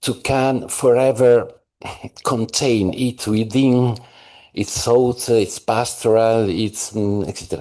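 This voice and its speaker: Very slowly and with an Italian accent, a man talks in a dark, mellow tone at a medium pitch against a quiet background. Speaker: scholar. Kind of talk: conference discussion question. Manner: halting.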